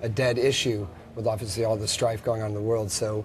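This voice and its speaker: With an American accent, a man talks at a fairly quick pace in a somewhat breathy voice. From United States. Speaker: rock band guitarist. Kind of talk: TV interview. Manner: hesitant, many fillers.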